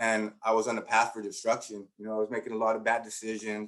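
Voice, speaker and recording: Speaking fairly quickly, a man with a Spanish accent has a medium pitch. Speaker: education researcher and teacher-preparation coordinator. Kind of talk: conference presentation with personal testimony.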